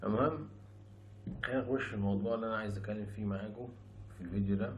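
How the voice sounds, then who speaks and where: A soft-spoken man talks very fast in a fairly low pitch with fairly even intonation. The room echo is audible. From Egypt. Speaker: YouTuber, former rapper. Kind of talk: casual vlog monologue.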